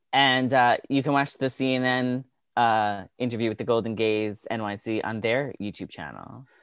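A man with a normal speaking voice talks at a medium pitch and a moderate pace, his intonation fairly even. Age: 40s. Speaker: entertainment interviewer and podcast host. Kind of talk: casual chat.

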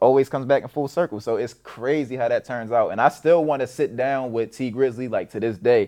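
With an American accent, a man talks at a fairly quick pace and medium pitch, barely pausing, his tone dark and mellow and his intonation fairly even against a quiet background. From Maryland, Baltimore area. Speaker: internet comedian and entrepreneur. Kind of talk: casual interview. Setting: in-person studio.

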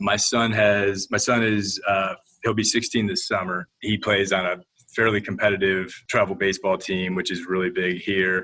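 Speaking in a Midwestern American accent, a man has a fairly low pitch, a bright, sharp tone, and monotone, flat intonation. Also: moderate pace. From Ohio, Toledo. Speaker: HR executive. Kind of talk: casual interview.

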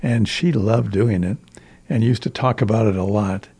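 Somewhat breathy, an American man talks with ordinary pitch variation. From US Midwest, rural Iowa. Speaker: retired English teacher and volunteer reader. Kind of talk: interview. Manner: halting, many fillers.

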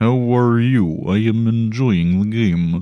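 A fairly slow, medium-pitched put-on character voice from a man. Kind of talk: comic robotic deadpan. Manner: stiff, formal.

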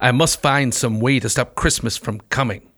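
Growling, a man puts on a character voice at medium pitch and a moderate pace. The recording is very clean, with a silent background. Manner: growling, sneering.

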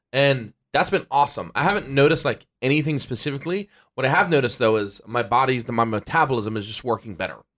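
A man with a medium pitch speaks at a very fast pace with lively intonation. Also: very clean recording, silent background. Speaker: podcast host. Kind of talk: casual chat.

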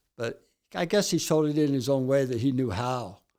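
A man speaks at a moderate pace with a fairly high pitch and a dark, mellow tone. The recording is very clean, with a silent background. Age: 60s. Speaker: author and amateur baseball pitcher in recovery. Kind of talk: interview storytelling. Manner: nervous.

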